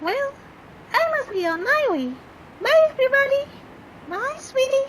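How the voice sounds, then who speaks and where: A woman does a squeaky, cartoonish character voice at an extremely high pitch. Clear background noise runs underneath. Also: moderate pace. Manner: chirpy, flirtatious.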